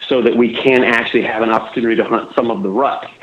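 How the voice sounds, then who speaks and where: A man speaks in a Florida accent at a very fast pace and a medium pitch. Noticeable background noise runs behind him. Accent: US Southern (Florida). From southwest Florida. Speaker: hunter. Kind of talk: podcast interview. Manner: halting.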